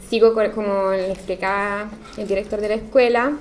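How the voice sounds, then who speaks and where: A woman speaks at a fairly slow pace with fairly even intonation. Audible room echo and noticeable background noise fill the recording. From Italy. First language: Italian (speaking Spanish). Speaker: architect. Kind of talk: lecture.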